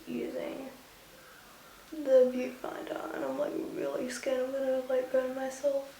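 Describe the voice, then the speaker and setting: Soft-spoken and high-pitched, a woman talks at a fairly slow pace amid noticeable background noise and audible room echo. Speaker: beauty vlogger. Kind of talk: tutorial.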